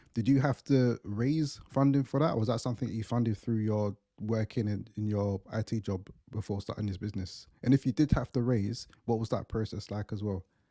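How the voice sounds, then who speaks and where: Here is a man with an unremarkable speaking voice at a medium pitch. He keeps a moderate pace and fairly even intonation in a dry, close sound with no echo. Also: very clean recording, silent background. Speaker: podcast host. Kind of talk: interview conversation.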